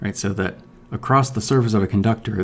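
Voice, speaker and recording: This man has a fairly low pitch and a somewhat breathy voice. His intonation stays fairly even. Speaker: physics professor. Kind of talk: lecture. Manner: casual, with many fillers.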